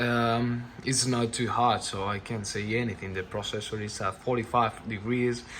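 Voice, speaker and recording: Fairly slow delivery from a man, his intonation fairly even. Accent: non-native. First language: not English. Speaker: tech reviewer. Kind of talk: product review. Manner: halting, with many repetitions.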